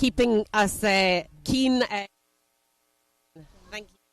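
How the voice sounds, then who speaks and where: The voice has a Scottish accent and fairly even intonation. It moves at a fairly slow pace in a dry, close sound with no echo. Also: woman. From Scotland. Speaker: athlete, paddler. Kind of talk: post-race interview.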